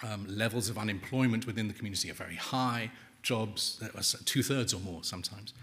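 An unremarkable speaking voice, this man's sits fairly low. His intonation is fairly even. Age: 50s. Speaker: author and journalist. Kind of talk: book talk.

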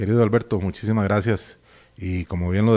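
A plain, everyday voice speaks with fairly even intonation. The recording is very clean, with a silent background. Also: man. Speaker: veteran radio broadcaster. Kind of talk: interview.

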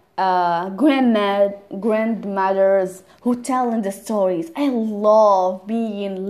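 A woman's medium-pitched voice with a non-native accent, a dark, mellow tone, fairly even intonation and hardly any pauses, over a quiet background. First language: not English. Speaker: language learner podcaster. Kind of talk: personal monologue. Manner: halting, with repetitions.

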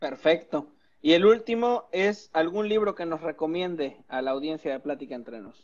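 This is an unremarkable speaking voice with lively intonation, moving at a moderate pace. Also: man, fairly high pitch for a man. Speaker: podcast host. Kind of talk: interview conversation.

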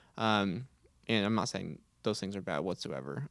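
A man speaks with a Texan accent at a fairly low pitch. His delivery is fairly quick and shows vocal fry. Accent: Texan American. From Texas, Houston. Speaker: college student leader. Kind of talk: casual faith discussion. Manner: hesitant, many fillers.

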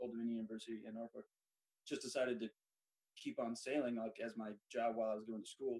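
In an American accent, the speech comes at a very fast pace with a dry, close sound and no echo. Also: man. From Central Oregon, US. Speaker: sailing ship first mate, Navy veteran. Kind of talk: interview chat.

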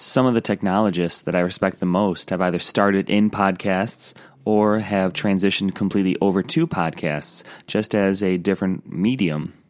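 The recording is very clean with a silent background. A man with an unremarkable speaking voice and fairly low pitch talks at a moderate pace. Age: 30s. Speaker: music teacher. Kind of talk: podcast monologue.

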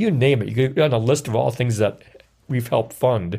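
A man with an Upper Midwest accent speaks at a medium pitch and a fairly quick pace, somewhat breathy. His pitch variation is ordinary, in a very clean recording with a silent background. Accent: Upper Midwest American. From US Midwest, Wisconsin. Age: 60s. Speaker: outdoors writer. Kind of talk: interview. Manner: halting.

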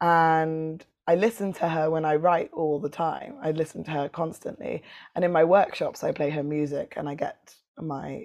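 A London accent with fairly even intonation at a moderate pace over a quiet background. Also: woman. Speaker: poet and performer. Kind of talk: casual interview chat.

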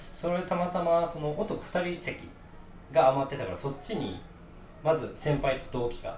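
A man with a Kansai accent, fairly high in pitch and animated in tone, at a moderate pace with ordinary pitch variation, audible room echo and noticeable background noise. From Kansai, Japan. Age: 20s. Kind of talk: casual chat. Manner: animated, laughing.

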